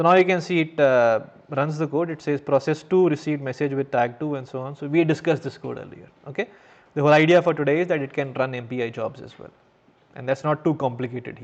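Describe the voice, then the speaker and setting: Using an ordinary speaking voice, a man talks at a fairly quick pace and a fairly high pitch with ordinary pitch variation. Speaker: university lecturer. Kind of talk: lecture.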